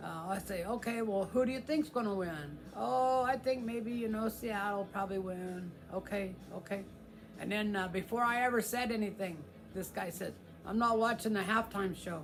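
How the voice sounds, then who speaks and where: There is noticeable background noise. A man with an American accent speaks in a high pitch. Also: ordinary pitch variation, moderate pace. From US Midwest (Kansas). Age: 60s. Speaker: guitar channel host. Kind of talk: casual live stream chat. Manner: halting, many fillers.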